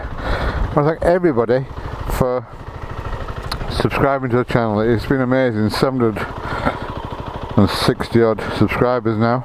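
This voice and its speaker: A man talks at a medium pitch with ordinary pitch variation against noticeable background noise. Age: 60s. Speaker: motorcycle vlogger. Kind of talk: casual vlog.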